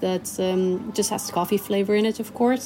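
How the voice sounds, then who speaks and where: A woman with a Spanish accent speaks at a moderate pace and medium pitch, keeping her intonation fairly even. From Chile. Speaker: cafe owner. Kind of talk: interview. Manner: halting, many fillers.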